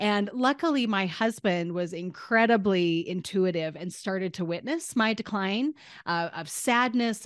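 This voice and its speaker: Over a quiet background, a woman with an American accent speaks in an animated tone at a medium pitch and moderate pace, with ordinary pitch variation. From US, northern Utah. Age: 40s. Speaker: marketing coach and entrepreneur. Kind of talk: interview conversation.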